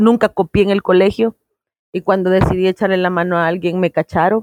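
Recorded with a dry, close sound and no echo, a woman of medium pitch speaks at a moderate pace. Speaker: stand-up comedian. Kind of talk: interview. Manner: animated.

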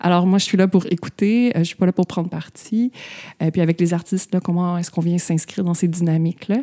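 Talking at a very fast pace, a woman with a fairly low pitch and a dark, mellow tone keeps her intonation fairly even, in a dry, close sound with no echo. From Quebec, Terrebonne (north shore of Montreal). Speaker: art historian and author. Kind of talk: interview conversation.

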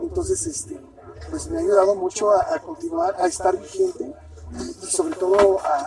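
With noticeable background noise behind him, a man talks at a moderate pace in an extremely high pitch that swings very widely. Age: 40s. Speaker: punk band vocalist. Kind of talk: interview.

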